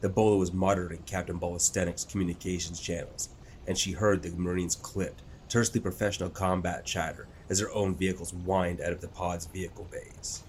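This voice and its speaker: Very deep and low in pitch, a man speaks very fast in a somewhat breathy, monotone voice with flat intonation. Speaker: audiobook narrator. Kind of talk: dramatic audiobook narration of a sci-fi war story, building tension in battle scenes; scripted narration. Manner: tense, urgent, crisp pacing during combat action.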